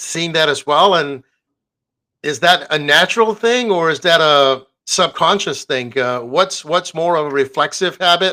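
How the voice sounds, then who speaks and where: Speaking at a fairly slow pace, a man with a fairly high pitch and a bright, sharp tone is heard on a very clean recording against a silent background. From foreign-born, moved to US. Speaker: interview host. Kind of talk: interview.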